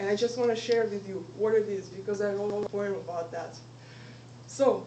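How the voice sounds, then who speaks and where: A woman talks at a moderate pace with a medium pitch. There is noticeable background noise and audible room echo. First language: not English. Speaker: student giving a club speech. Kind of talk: inspirational speech.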